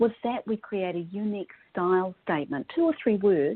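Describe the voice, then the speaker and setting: A woman with a New Zealand accent speaks at a moderate pace with lively intonation. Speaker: personal stylist. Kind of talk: podcast interview.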